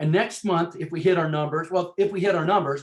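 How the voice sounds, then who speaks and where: This man's voice sits at a high pitch. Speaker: team leader in sales business. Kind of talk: motivational team training call. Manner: fast; energetic.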